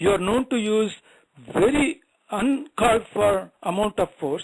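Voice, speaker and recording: The sound is dry and close with no echo as a man speaks at a moderate pace with lively intonation. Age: 60s. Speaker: caller. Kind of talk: heated debate. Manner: confrontational, interrupting.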